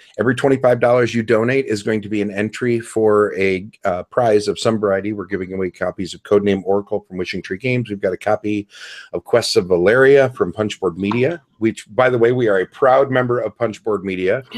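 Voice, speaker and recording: A man at fairly low pitch, talking at a fairly quick pace with hardly any pauses and ordinary pitch variation, in a dry, close sound with no echo over a quiet background. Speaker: podcast host. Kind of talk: show plugs in casual podcast chat. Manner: fast.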